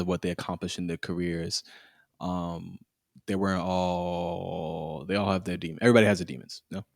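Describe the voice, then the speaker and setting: On a very clean recording with a silent background, a man with an American accent speaks at a moderate pace in a very deep, low pitch. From US East Coast. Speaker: podcast co-host. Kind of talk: casual chat.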